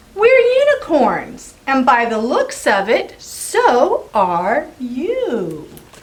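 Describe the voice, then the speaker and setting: A woman puts on a high-pitched character voice, speaking at a very slow pace with hardly any pauses. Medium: read story.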